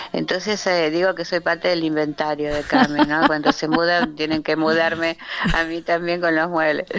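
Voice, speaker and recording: A woman's fairly low voice at a moderate pace with fairly even intonation, over noticeable background noise. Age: 70s. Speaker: architect and shop window designer. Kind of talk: radio interview.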